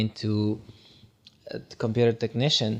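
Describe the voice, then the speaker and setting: A man with a Guatemalan accent talks at a medium pitch. His intonation is monotone and flat. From Guatemala, rural sugarcane region. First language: Spanish. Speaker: tech worker and motivational speaker. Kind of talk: podcast interview.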